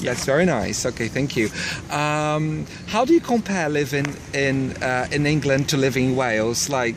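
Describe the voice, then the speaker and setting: Fairly high male voice, its pitch varying in an ordinary way, with clear background noise behind it. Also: moderate pace. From Brazil. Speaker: English teacher. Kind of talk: casual interview. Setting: outdoors by a river.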